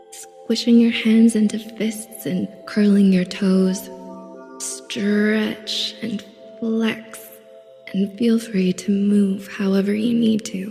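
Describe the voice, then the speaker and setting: Over music in the background, a woman speaks very slowly in a calm tone at medium pitch, her intonation monotone and flat. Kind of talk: guided meditation. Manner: soft, calm, slow.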